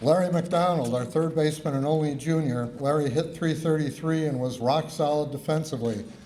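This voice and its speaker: Audible room echo surrounds a man speaking at a moderate pace, his fairly high pitch carried by fairly even intonation. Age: 70s. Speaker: former college baseball player. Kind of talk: acceptance speech read aloud. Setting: awards ceremony.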